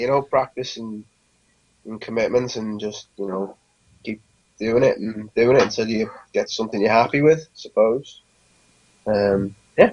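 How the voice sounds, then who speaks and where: Speaking in a Lancashire accent at a moderate pace, the man has a medium pitch, ordinary pitch variation, long, frequent pauses and big swings in loudness. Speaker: band vocalist. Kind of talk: interview. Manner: halting.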